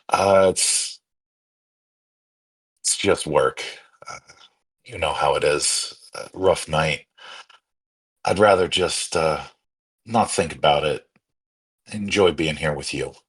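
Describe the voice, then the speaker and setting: Using a raspy, put-on character voice, a man speaks at a fairly slow pace. He leaves long, frequent pauses. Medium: actual play. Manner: easygoing, charming.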